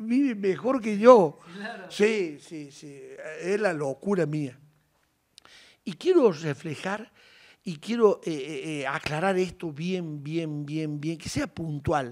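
Very slowly, a man speaks at a high pitch with lively intonation. His loudness swings widely against a quiet background. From Argentina, Córdoba province countryside. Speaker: horse breeder for rodeo. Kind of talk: interview. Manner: animated. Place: kitchen. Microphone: handheld.

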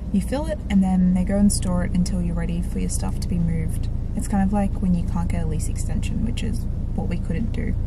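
Over loud background noise, a woman talks at a fairly quick pace, the sound dry with no echo. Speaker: vlogger. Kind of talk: casual vlog chat. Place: car. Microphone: phone near.

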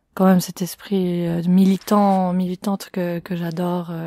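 A woman's very slow, monotone delivery with flat intonation and a dark, mellow tone, on a very clean recording with a silent background. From Switzerland, canton of Fribourg. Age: 20s. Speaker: student activist. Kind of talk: interview.

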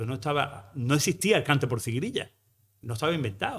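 In a plain, everyday voice, the speaker moves at a fairly quick pace with lively intonation. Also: man. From Andalusia, Algeciras area; Andalusia, Spain. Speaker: flamenco researcher and math teacher; math teacher. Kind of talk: lecture. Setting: stage with audience. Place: hall. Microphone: podium.

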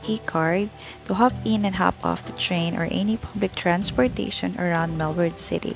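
Clear music plays in the background as a woman speaks at a moderate pace in a dry sound with no echo. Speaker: travel vlogger. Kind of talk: casual vlog chat. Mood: cheerful, excited. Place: station. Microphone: phone near.

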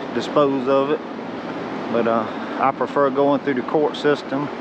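At a moderate pace, the speech comes through dry with no echo over noticeable background noise. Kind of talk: casual vlog commentary. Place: open country. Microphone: phone near.

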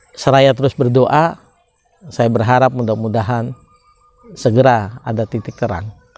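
A man at a medium pitch and moderate pace, his intonation fairly even, with long, frequent pauses and a dry sound with no echo. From Indonesia, Subang, West Java; West Java, Indonesia. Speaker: law educator; law commentator. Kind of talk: lecture. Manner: formal. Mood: calm, earnest. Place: open country. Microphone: lapel.

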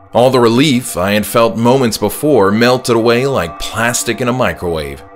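A man's fairly low voice at a fairly slow pace, with music in the background. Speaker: author reading own work. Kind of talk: horror story narration.

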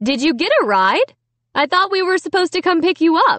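In a put-on character voice, the speaker moves at a moderate pace with big pitch swings and a fairly bright tone, in a dry, close sound with no echo. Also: woman, extremely high pitch for a woman.

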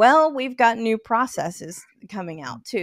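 Fairly high in pitch, a woman speaks with an American accent. The background is quiet and the sound is dry, without echo. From northern West Virginia. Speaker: auto finance manager and consumer advocate; podcast guest. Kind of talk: casual interview. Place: home room. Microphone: studio mic.

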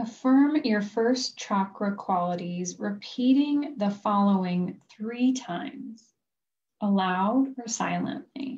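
Her voice is fairly high and somewhat breathy. This woman speaks at a very slow pace. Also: ordinary pitch variation. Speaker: life coach. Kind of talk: guided chakra meditation, reading imagery from a book. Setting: recorded video session. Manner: slow, soothing cadence paced to the breath; gentle, calm, softly instructive. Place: home room. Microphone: video call.

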